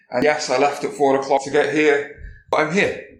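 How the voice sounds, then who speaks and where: A man with a slight Welsh accent speaks at a moderate pace in a fairly high, monotone voice. His flat intonation carries audible room echo. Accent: slight Welsh lilt. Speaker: security conference speaker. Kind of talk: conference talk. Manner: casual, conversational.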